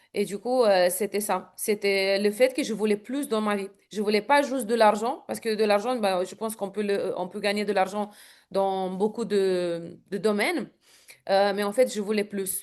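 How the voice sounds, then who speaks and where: A woman with a Romanian accent talks at a fairly slow pace with fairly even intonation. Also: medium pitch for a woman, quiet background. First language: Romanian (speaking French). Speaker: network marketing entrepreneur. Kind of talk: interview. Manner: hesitant, many fillers.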